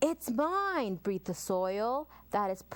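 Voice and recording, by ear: A natural voice, reading aloud.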